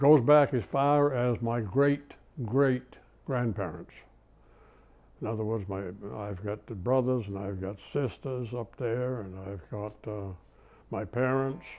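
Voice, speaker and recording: With a Maine accent, a man speaks at a fairly slow pace, taking long, frequent pauses, with ordinary pitch variation and big swings in loudness. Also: medium pitch for a man. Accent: Maine New England. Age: 80s+. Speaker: retired machinist. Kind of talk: oral history interview.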